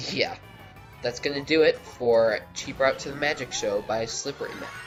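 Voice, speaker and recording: Music in the background behind a man's fairly slow delivery. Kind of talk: casual video game commentary.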